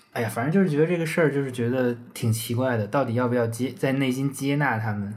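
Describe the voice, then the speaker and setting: Here a man of medium pitch speaks with ordinary pitch variation. His pace is very fast. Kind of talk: casual chat.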